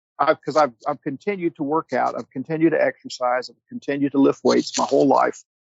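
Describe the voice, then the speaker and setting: In a plain, everyday voice, a man with a fairly high pitch speaks with ordinary pitch variation. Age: 60s. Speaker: welding podcast co-host. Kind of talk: casual chat.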